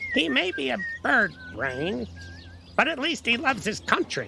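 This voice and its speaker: Clear background noise sits behind a fairly high-pitched voice. The speaker is using a put-on character voice. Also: moderate pace. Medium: audio drama. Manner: sarcastic, wisecracking.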